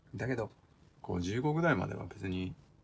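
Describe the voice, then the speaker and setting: A fairly quick, lively-intoned man with a fairly low pitch. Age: 50s. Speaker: custom motorcycle builder and apparel maker. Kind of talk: casual interview. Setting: home garage workshop.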